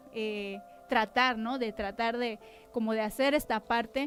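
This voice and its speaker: The delivery is fairly slow, with fairly even intonation. Music can be heard in the background. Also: woman. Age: 30s. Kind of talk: testimony. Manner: sharp, clipped speech.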